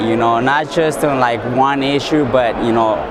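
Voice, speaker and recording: The speech moves at a moderate pace with fairly even intonation, and the clip carries noticeable background noise and audible room echo. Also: man. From Southern California. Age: young. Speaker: leadership fellow. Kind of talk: interview. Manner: hesitant, many fillers.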